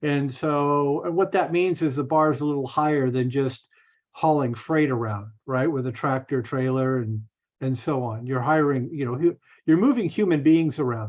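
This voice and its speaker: This man talks at a moderate pace in an ordinary speaking voice. His pitch sits fairly high and shows ordinary variation. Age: 60s. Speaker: bus operator and realtor. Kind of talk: casual chat. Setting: video call.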